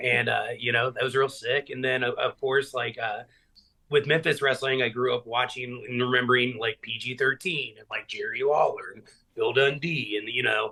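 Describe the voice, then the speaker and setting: A man with an American accent at a moderate pace, medium-pitched, with big swings in loudness. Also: fairly even intonation. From Middle Tennessee, US South. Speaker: professional wrestler. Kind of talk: casual chat.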